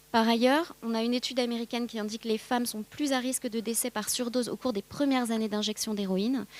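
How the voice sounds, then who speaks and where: Speaking at a very fast pace, a woman uses fairly high pitch and fairly even intonation. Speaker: pharmacist and addiction researcher. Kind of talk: conference talk. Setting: conference with audience. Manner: hesitant, many fillers.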